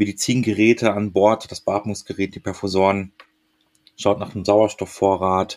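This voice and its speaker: A man's unremarkable speaking voice, fairly low in pitch and moderate in pace, with a dry, close sound and no echo. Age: 40s. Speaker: air rescue paramedic. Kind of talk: interview.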